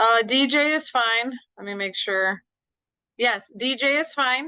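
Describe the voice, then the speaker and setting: Loud, bright, sharp delivery at a very slow pace, with ordinary pitch variation over a quiet background. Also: woman, high pitch for a woman. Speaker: middle school teacher. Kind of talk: online parent meeting. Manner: casual, rambling.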